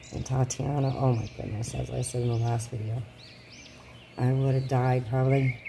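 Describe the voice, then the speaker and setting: Monotone, flat delivery at a moderate pace over noticeable background noise. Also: woman. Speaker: reborn doll collector vlogger. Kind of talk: casual chat. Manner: rambling, hesitant.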